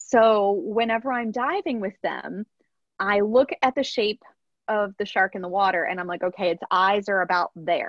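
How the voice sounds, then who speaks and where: Speaking in a normal speaking voice with an American accent, a woman holds a medium pitch, a moderate pace, and ordinary pitch variation. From rural Pennsylvania, US. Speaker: professional mermaid. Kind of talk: interview.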